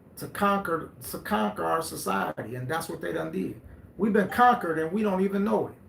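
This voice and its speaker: Against noticeable background noise, a man with a high pitch speaks at a fairly quick pace in an animated tone with very wide pitch swings. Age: 50s. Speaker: live stream host. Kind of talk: live stream talk. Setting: live stream.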